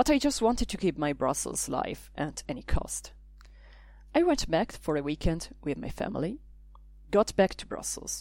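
A woman speaks at a moderate pace, her loudness rising and falling sharply. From Italy. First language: Italian. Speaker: language teacher and podcaster. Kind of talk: scripted narration.

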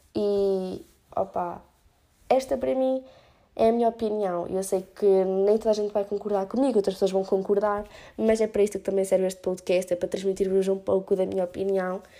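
Recorded very cleanly with a silent background, a woman with a medium-pitched, dark, mellow voice and a European Portuguese accent speaks with fairly even intonation. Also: fairly quick pace. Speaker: podcast host. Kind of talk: solo opinion podcast. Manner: casual with English fillers.

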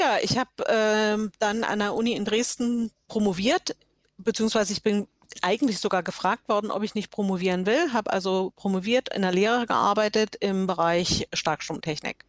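In a dry, close recording with no echo, a woman with an ordinary speaking voice and fairly high pitch talks at a moderate pace with ordinary pitch variation. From Saxony, eastern Germany (Görlitz). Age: 60s. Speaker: web developer. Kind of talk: casual interview.

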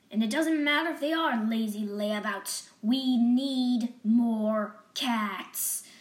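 In a put-on character voice, a woman with a fairly high pitch speaks very slowly with hardly any pauses. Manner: gruff, brisk, determined.

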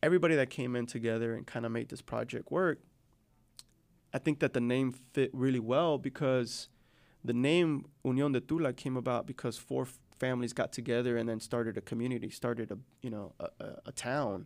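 A man talks at a fairly quick pace with an American accent, in an ordinary speaking voice at medium pitch with ordinary pitch variation. The recording is very clean, with a silent background. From Chicago, US Midwest. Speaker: restaurant owner. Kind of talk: casual interview.

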